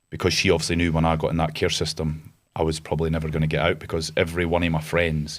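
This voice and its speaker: At a very fast pace, a man with a Scottish Borders accent speaks in a very deep, low pitch, with monotone, flat intonation and very even loudness. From Scotland (Galashiels, Scottish Borders). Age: 30s. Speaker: entrepreneur, army veteran. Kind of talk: podcast interview. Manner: casual, hesitant with many fillers.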